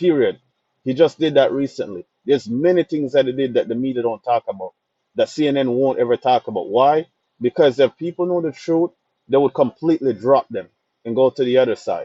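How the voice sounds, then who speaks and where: Speaking at a fairly quick pace, a man with a Jamaican accent has a fairly high pitch. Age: young. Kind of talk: casual talk to camera.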